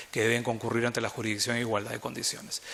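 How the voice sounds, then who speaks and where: In a bright, sharp tone, a man speaks at a very fast pace. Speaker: arbitration lawyer, conference panelist. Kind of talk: conference talk.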